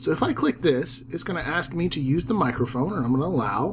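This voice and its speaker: Lively intonation at a moderate pace from a man with a Southern accent. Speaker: teacher and ed-tech YouTuber. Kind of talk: tutorial. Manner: casual, with fillers.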